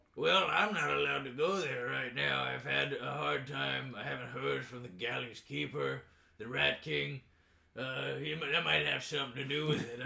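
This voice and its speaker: A man puts on a character voice at medium pitch. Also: moderate pace. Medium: actual play. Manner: casual, rambling.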